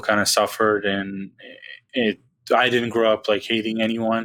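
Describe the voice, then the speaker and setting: The sound is dry and close with no echo as a man of medium pitch speaks at a moderate pace in a bright, sharp tone. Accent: Serbian. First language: Serbian. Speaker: basketball podcaster. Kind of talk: casual chat.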